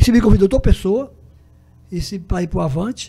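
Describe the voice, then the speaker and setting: This man's voice has a high pitch, a dark, mellow tone and ordinary pitch variation. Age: 70s. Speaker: journalist. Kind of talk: interview.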